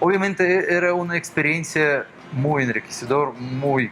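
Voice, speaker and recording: Music plays in the background as a man speaks with a Russian accent. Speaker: orchestra musician and cultural center director. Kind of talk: TV interview. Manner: halting.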